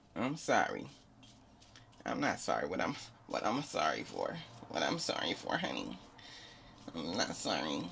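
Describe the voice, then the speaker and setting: A man puts on a raspy character voice pitched very deep and low, speaking at a moderate pace in a playful tone with long, frequent pauses, over clear background noise. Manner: sassy, playful.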